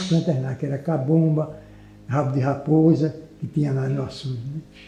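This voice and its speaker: A man speaks at a moderate pace. Behind him, music can be heard. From Pernambuco, Brazil. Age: 80s+. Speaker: aquaculturist, aquarium hobbyist. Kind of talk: interview answer.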